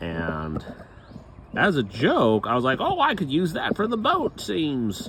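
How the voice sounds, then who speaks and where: A man mumbles at a very slow pace. There is noticeable background noise. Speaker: boat restoration vlogger. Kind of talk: casual DIY vlog narration. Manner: mumbling to himself; casual, rambling.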